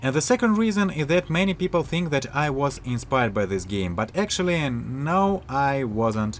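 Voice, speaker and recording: In a Russian accent, this voice makes very wide pitch swings. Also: man, fairly high pitch for a man, moderate pace, hardly any pauses. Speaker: indie game developer. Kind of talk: video devlog monologue. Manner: halting, with frequent filler sounds.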